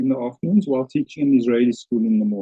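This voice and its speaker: A man speaks in a South African accent. His intonation is lively. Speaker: teacher. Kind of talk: lecture. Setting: webinar video call.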